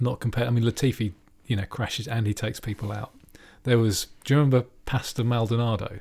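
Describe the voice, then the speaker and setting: Speaking very fast with a somewhat breathy, medium-pitched voice and fairly even intonation, a man is heard on a very clean recording against a silent background. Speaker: F1 podcast host. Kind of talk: casual banter about F1. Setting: home recording with separate microphones.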